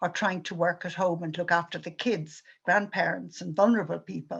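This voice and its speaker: With an Irish accent and vocal fry, a woman speaks at a moderate pace in a fairly low pitch and a monotone, flat intonation. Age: 70s. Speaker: activist speaker. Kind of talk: prepared talk.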